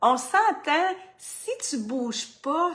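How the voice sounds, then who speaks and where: A woman speaks with a Quebec accent at a very slow pace. Her pitch swings very widely. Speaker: fitness coach. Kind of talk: motivational vlog. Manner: loud.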